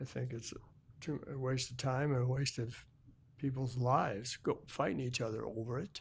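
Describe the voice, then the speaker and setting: A man's somewhat breathy, medium-pitched voice with an American accent, at a moderate pace with fairly even intonation. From Illinois, USA. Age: 80s+. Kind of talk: interview answer.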